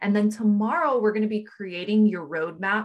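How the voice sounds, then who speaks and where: Her tone is upbeat and animated. The woman's pitch is medium. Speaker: podcast host and business coach. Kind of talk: online training workshop with pep-talk delivery. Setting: video training session. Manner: upbeat, encouraging, animated; conversational and direct.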